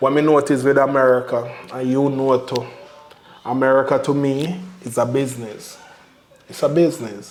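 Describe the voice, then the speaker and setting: With a Jamaican accent, a man speaks at medium pitch with long, frequent pauses, in a room with audible echo and noticeable background noise. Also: fairly even intonation, moderate pace. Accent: Jamaican patois-inflected English. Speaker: family vlogger. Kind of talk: casual chat.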